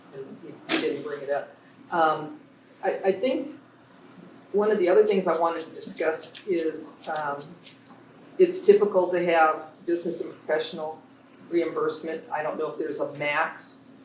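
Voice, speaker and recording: A man with a high pitch and ordinary pitch variation speaks at a moderate pace, with long, frequent pauses. His loudness swings widely, and audible room echo fills the space. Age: 60s. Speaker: public commenter at school board meeting. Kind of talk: public comment at board meeting. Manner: animated.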